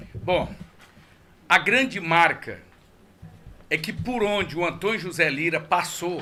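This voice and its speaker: With long, frequent pauses, a man talks very slowly at a high pitch with ordinary pitch variation. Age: 60s. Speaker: political candidate. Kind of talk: radio interview. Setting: radio studio.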